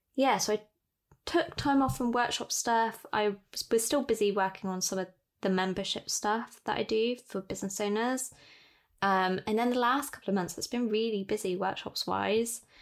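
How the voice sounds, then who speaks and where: On a very clean recording with a silent background, a woman talks at a moderate pace in a normal speaking voice, fairly high in pitch, with ordinary pitch variation. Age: 20s. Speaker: podcast host, calligraphy business owner. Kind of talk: casual chat.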